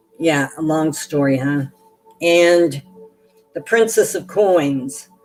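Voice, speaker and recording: Over background music, a woman talks at a very slow pace with ordinary pitch variation. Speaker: tarot reader. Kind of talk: live stream reading. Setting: live stream. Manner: halting.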